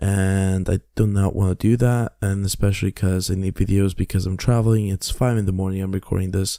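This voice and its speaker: Quiet and dark, mellow in tone, a man talks at a fairly quick pace with hardly any pauses and flat, monotone intonation, in a very clean, dry, close recording with a silent background and no echo. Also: fairly low pitch for a man. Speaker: gaming YouTuber. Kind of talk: gameplay commentary. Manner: quiet, hushed; halting.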